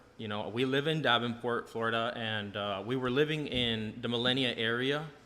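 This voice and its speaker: At medium pitch, a man speaks with audible room echo. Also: fairly even intonation, moderate pace. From Hawaii, Maui. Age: 20s. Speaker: food truck owner. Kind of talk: podcast interview.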